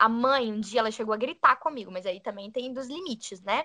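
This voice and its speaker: A bright, sharp tone rides lively intonation at a very fast pace. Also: woman. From Brazil, Minas Gerais. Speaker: podcast co-host, former au pair. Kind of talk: casual chat.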